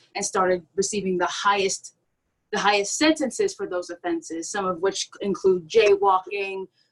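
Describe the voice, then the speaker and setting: A woman with a plain, everyday voice talks at a medium pitch and moderate pace, with ordinary pitch variation. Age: young. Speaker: panelist. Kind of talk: panel discussion.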